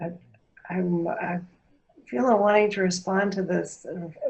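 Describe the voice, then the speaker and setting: The voice belongs to a woman. Her pitch sits in the medium range. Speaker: workshop facilitator. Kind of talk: guided experiential workshop. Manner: slow, pausing.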